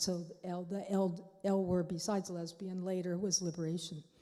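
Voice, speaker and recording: A woman speaks at a medium pitch in a dark, mellow tone. Audible room echo surrounds her voice. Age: 70s. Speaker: panelist. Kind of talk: panel talk. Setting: church. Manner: halting.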